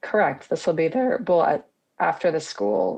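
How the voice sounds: Using a put-on character voice, a woman speaks raspily at a fairly low pitch and a moderate pace.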